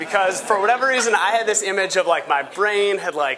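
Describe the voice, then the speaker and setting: Over noticeable background noise, a man with a high pitch talks in a raised, projected voice at a fairly quick pace with ordinary pitch variation. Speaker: law student. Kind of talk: personal testimony on a panel. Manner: halting, many fillers.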